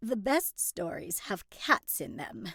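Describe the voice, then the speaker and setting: A woman slips into a put-on character voice, medium in pitch and fairly slow. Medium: read story.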